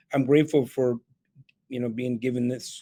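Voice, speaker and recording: A man with a Spanish accent speaks in a medium pitch with a dark, mellow tone and monotone, flat intonation, the sound dry and close with no echo. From El Salvador, raised in Canada. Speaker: keynote speaker and real estate entrepreneur. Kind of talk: podcast interview.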